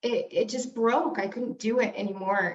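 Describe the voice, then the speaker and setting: A woman speaks at a moderate pace. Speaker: brand strategist. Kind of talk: interview. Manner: loud.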